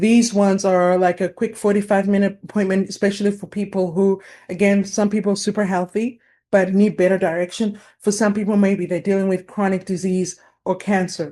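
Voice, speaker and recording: Monotone, flat intonation marks this woman's dark, mellow tone. The background is quiet. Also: medium pitch for a woman. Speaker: naturopathic practitioner. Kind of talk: webinar presentation. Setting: online webinar. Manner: fast.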